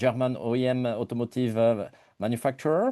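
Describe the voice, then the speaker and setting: A man with a French accent talks at a moderate pace and a medium pitch. His tone is dark and mellow, over a quiet background. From France. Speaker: engineer and innovation company director. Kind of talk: webinar self-introduction. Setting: online webinar.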